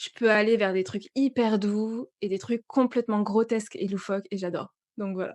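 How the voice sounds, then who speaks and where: A woman speaks at a fairly high pitch and a moderate pace. Her intonation stays fairly even, and the sound is dry and close with no echo. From southwest France. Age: 30s. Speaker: voice-over and manga content creator. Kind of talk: interview.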